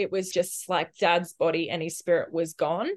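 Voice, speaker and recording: The speaker has an Australian accent and a fairly slow pace. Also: woman. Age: 20s. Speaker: Olympic swimmer. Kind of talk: casual interview chat.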